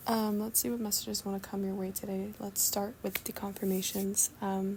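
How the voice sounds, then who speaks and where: Noticeable background noise sits behind a woman at a medium pitch. Her tone is calm and her intonation flat and monotone. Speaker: spiritual channeler doing readings. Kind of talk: channeled message reading. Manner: slow, soft-spoken; calm, cozy.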